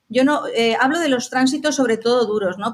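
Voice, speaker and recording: On a very clean recording with a silent background, a woman with a plain, everyday voice talks at a moderate pace with ordinary pitch variation. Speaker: astrologer. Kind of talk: interview conversation.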